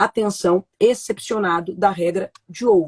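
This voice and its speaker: With an ordinary speaking voice, a woman talks fairly slowly at a medium pitch, the sound dry and close with no echo. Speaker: law professor. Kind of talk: lecture. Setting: online live stream.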